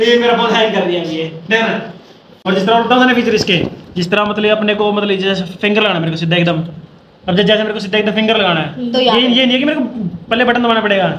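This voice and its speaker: A high-pitched man at a very fast pace, with audible room echo and light background noise. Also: ordinary pitch variation. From Haryana, India. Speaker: vlogger. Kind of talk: casual vlog, phone feature demo. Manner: casual, chatty. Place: home room. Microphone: phone near.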